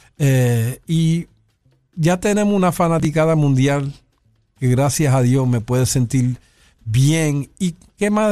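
Against music in the background, a man speaks with lively intonation at a fairly high pitch. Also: very even loudness. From New York (South Bronx). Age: 60s. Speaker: pianist and bandleader. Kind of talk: interview.

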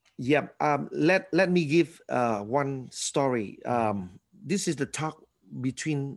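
A man with a Vietnamese accent speaks very slowly in a fairly high voice with lively intonation, on a very clean recording with a silent background. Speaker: former actor and church leader. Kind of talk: interview.

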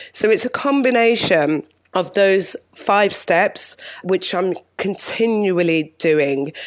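Lively intonation marks this woman's medium-pitched voice. She speaks at a very slow pace. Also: very even loudness. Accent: British. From UK. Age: 40s. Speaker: TV and live event producer. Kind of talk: interview.

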